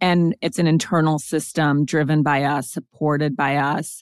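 An ordinary speaking voice with an American accent at a fairly slow pace, on a very clean recording with a silent background. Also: woman. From Montana. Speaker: author and podcast host. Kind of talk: interview.

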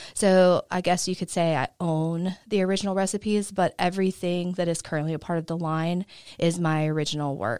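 In a very clean recording with a silent background and a dry, close sound with no echo, a woman with an ordinary speaking voice talks at a fairly low pitch with fairly even intonation. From US South, southwest Georgia. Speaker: business owner. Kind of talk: interview. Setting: studio.

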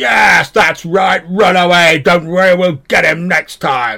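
Using a put-on character voice, a man talks fairly slowly at a high pitch with very even loudness. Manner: taunting.

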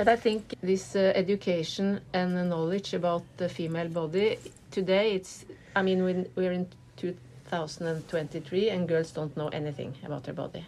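The speaker is a woman with a Norwegian accent. Her pitch is fairly low. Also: fairly even intonation, moderate pace. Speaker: artist and activist. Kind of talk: interview. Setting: hotel room. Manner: halting.

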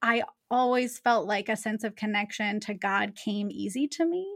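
The speaker has an American accent and ordinary pitch variation at a fairly slow pace. The recording is very clean with a silent background. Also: woman. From US Pacific Northwest (Seattle area). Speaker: theology professor. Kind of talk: interview conversation. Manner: repeats words, slight hesitations.

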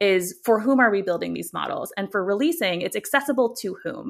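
A woman with an American accent talks at medium pitch with ordinary pitch variation, an unremarkable speaking voice. The recording is very clean, with a silent background. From United States. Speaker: AI policy director. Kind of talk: interview conversation.

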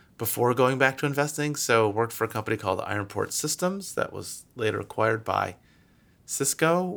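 Over a very clean recording with a silent background, a man with an American accent talks in an ordinary speaking voice at medium pitch and a fairly quick pace. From Michigan, US. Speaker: venture capital investor. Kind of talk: interview.

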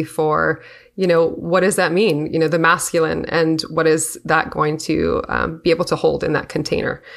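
A woman speaks at a moderate pace with a fairly low pitch and vocal fry. Her loudness stays very even, and her intonation is monotone and flat. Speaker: interviewer. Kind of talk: casual interview conversation.

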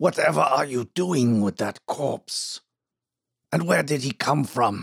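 In a put-on character voice, a man speaks with a raspy sound at medium pitch and a fairly slow pace. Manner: scolding, indignant.

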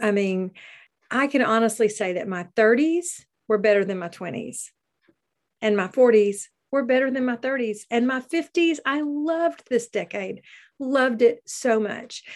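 In an ordinary speaking voice, a woman speaks at a fairly high pitch with lively intonation. She keeps a moderate pace against a quiet background. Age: 50s. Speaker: podcast host and background singer. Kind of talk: casual solo monologue. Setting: video recording over Zoom.

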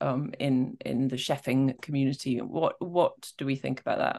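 The setting is quiet. A woman talks at a medium tempo. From Scotland. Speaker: podcast co-host. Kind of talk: casual chat. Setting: remote video call.

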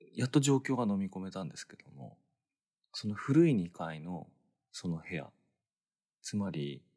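A man's very deep, low voice has a dark, mellow tone and very wide pitch swings. His loudness swings widely, and he takes long, frequent pauses. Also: moderate pace. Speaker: podcast host. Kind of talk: late-night solo storytelling monologue. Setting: dark room in bed, hotel in Los Angeles.

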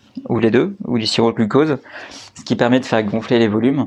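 Medium-pitched male speech against noticeable background noise. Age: 30s. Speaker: entrepreneur, co-founder of a honey company. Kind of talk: interview. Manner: halting, many fillers and repetitions.

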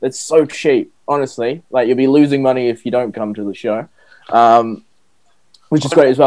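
A man with a New Zealand accent talks at a fairly quick pace and medium pitch. His tone is dark and mellow, with ordinary pitch variation. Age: 20s. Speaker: stand-up comedian. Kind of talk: casual chat. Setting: video call.

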